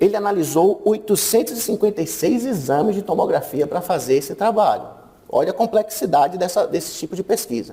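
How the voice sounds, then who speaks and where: A man speaks with a high pitch at a fairly quick pace. His intonation is lively. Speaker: radiology lecturer. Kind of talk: conference talk.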